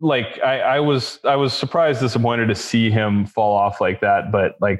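A man's fairly low voice at a moderate pace, with fairly even intonation.

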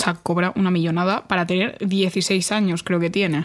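Intonation stays monotone and flat throughout. Words come at a fairly slow pace. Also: woman. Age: young. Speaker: podcast co-host. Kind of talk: casual chat. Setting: studio, recording in person.

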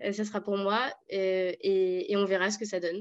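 This woman speaks at a medium pitch. Her intonation is monotone and flat. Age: 20s. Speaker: sociology student. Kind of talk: political discussion.

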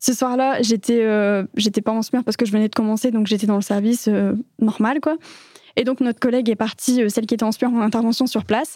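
A woman at a fairly high pitch, very fast pace, very even loudness and fairly even intonation. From France. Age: 20s. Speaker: emergency nurse. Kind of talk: casual interview.

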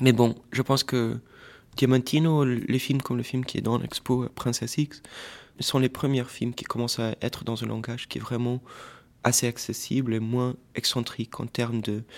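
Moving at a moderate pace, a man speaks in a medium pitch with monotone, flat intonation. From Portuguese family, raised mostly in Washington DC. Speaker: filmmaker and artist. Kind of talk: interview. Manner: halting, with repetitions and fillers.

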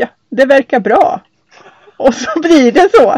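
Her intonation is lively as this woman speaks at a fairly slow pace. The sound is dry and close, with no echo. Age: 40s. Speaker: sailing podcast host, hydrogeologist. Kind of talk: casual chat. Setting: on board a sailboat.

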